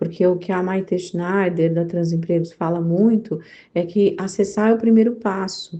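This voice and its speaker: Against a quiet background, a woman with a dark, mellow tone speaks at a moderate pace and medium pitch with fairly even intonation. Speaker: entrepreneurship network founder. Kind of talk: interview answer.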